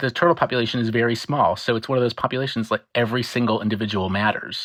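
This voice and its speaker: In a very clean recording with a silent background, a man with an American accent talks very fast at a medium pitch. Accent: own accent, US. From US. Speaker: marine biologist. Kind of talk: interview. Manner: fast when excited; animated.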